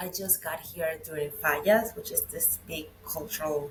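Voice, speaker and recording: Against noticeable background noise, a woman with a Venezuelan accent speaks in a very deep, low pitch with ordinary pitch variation. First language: Spanish. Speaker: web and brand designer, expat. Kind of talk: interview chat.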